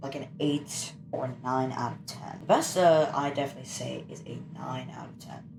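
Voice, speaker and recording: Amid noticeable background noise, a woman with a very deep, low pitch speaks at a moderate pace with ordinary pitch variation. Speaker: gaming YouTuber. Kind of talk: gameplay commentary. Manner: casual, halting.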